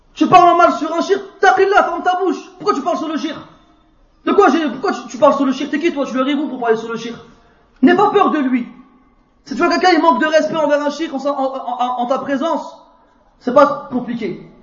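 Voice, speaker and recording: A man with an extremely high pitch at a moderate pace, with ordinary pitch variation, long, frequent pauses and audible room echo. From France. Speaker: Islamic preacher. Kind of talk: religious lecture. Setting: mosque.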